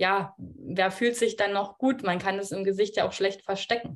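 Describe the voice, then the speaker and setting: An unremarkable speaking voice with fairly even intonation, in a very clean recording over a silent background. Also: woman. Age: 20s. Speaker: midwife, coaching client. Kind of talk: casual interview.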